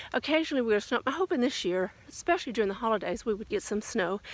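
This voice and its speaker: A woman with a slight Southern US accent speaks at a fairly high pitch with lively intonation. The recording is very clean, with a silent background. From US South. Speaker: lifestyle vlogger. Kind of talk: casual vlog monologue. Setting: outdoors, walking in light rain. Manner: hesitant, with many fillers.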